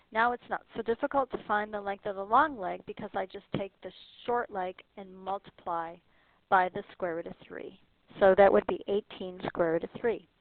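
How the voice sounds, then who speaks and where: A woman speaks at a moderate pace in a medium pitch with ordinary pitch variation and a normal speaking voice. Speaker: math teacher. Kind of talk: tutorial.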